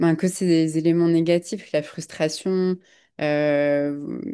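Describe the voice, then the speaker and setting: Against a quiet background, a woman speaks with a very deep, low pitch, a dark, mellow tone and monotone, flat intonation. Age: 30s. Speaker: podcast guest. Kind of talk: casual chat. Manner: halting.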